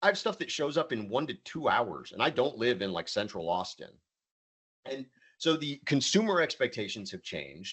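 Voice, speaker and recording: A man's voice with vocal fry swings very widely in pitch. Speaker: supply chain software presenter. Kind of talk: webinar presentation. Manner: fast.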